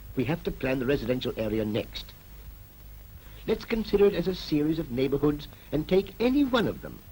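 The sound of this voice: A man's voice, fairly high in pitch, with a dark, mellow tone and big pitch swings. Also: fairly quick pace.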